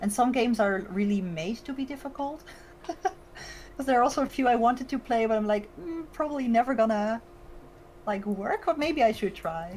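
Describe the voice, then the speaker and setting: In a Dutch accent, a woman speaks at a moderate pace with a high voice. Her pitch swings very widely. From Netherlands. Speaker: VTuber streamer. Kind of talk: casual chat. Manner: hesitant, many fillers.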